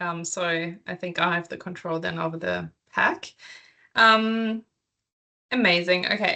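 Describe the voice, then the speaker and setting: A woman with a European accent speaks at a fairly slow pace in a fairly low pitch, her tone bright and sharp and her pitch varying in an ordinary way, against a quiet background. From Germany and England. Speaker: PhD researcher presenting. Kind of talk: academic seminar presentation. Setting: video call. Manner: hesitant, many filler ums.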